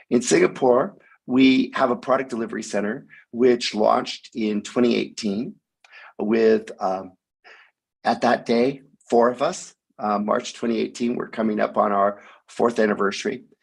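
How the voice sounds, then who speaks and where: Long, frequent pauses break up a moderate pace, with vocal fry and ordinary pitch variation. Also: man, medium pitch for a man. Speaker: tech company executive. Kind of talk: presentation. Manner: hesitant with fillers.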